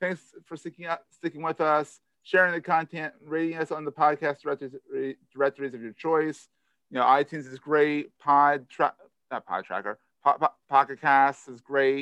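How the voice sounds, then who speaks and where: With a Philadelphia accent, a man speaks at a fairly high pitch with fairly even intonation and big swings in loudness, in a dry, close sound with no echo. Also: moderate pace. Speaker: podcast host. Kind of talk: casual interview chat.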